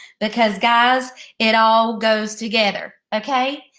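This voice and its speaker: The speaker has an American accent and an animated, playful tone. The recording is very clean with a silent background. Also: woman. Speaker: elementary school teacher. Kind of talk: video lesson for young children. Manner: slow, deliberate.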